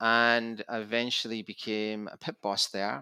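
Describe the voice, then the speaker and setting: Speaking with a Scottish accent, a man uses a medium pitch and fairly even intonation at a fairly slow pace, his bright, sharp tone captured in a dry, close sound with no echo on a very clean recording with a silent background. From Scotland, Glasgow. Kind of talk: interview.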